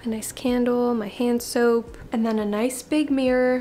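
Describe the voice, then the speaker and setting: This is a woman speaking. Her voice is high in pitch. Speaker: lifestyle YouTuber. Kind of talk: home tour vlog.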